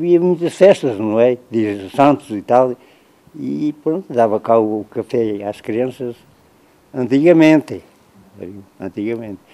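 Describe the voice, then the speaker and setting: Medium-pitched male voice with lively intonation, very slow pace and long, frequent pauses. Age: 80s+. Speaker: elderly villager. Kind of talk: interview reminiscence. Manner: halting.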